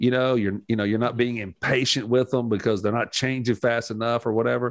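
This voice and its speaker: Captured on a very clean recording with a silent background, a man with an ordinary speaking voice talks at a medium pitch with ordinary pitch variation. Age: 50s. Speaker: pastor / church teacher. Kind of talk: casual religious discussion.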